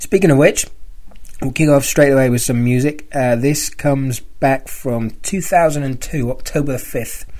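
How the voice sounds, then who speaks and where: Ordinary pitch variation from a man with a British accent. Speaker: fan podcast host. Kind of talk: casual podcast monologue. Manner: halting, with fillers.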